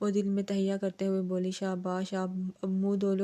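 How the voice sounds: Here a natural reading voice is heard.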